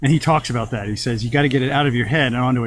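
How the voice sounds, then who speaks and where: Delivered at a very fast pace, the somewhat breathy voice keeps a fairly even intonation. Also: man. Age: 60s. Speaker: business owner. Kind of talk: casual interview chat. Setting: sitting in a hot tub.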